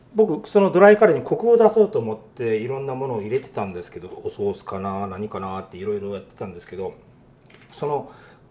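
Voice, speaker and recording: Over noticeable background noise, a man talks at a very fast pace with big swings in loudness. His medium pitch makes very wide swings. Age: 50s. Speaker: restaurant owner chef. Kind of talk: interview.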